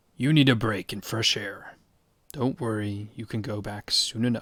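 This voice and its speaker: Using a raspy, put-on character voice, a man speaks at medium pitch and a moderate pace with fairly even intonation, on a very clean recording with a silent background. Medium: read story. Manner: firm, steady, fatherly.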